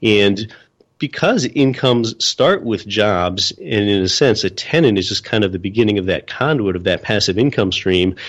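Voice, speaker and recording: With an American accent, a man speaks in an unremarkable speaking voice with ordinary pitch variation against a quiet background. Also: fairly low pitch for a man, moderate pace. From Pennsylvania, US. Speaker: real estate investor and podcast host. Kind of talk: interview.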